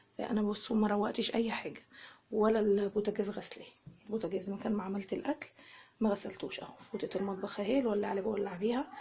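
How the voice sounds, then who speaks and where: A soft-spoken woman talks at a very fast pace with fairly even intonation. Noticeable background noise runs underneath. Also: medium pitch for a woman. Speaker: home vlogger, mother. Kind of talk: casual home tour vlog. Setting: at home.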